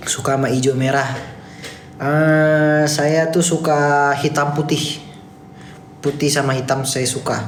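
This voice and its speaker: A man speaks very slowly at a fairly high pitch, monotone and flat, with very even loudness. Noticeable background noise and audible room echo fill the recording. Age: 20s. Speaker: TikTok live streamer. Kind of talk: casual live stream chat reading comments. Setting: office, live stream.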